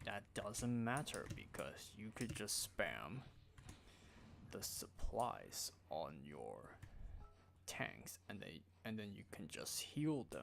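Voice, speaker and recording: A man speaks at a very slow pace with music playing in the background. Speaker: gaming streamer. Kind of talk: live gameplay commentary. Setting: live stream. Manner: quiet; casual.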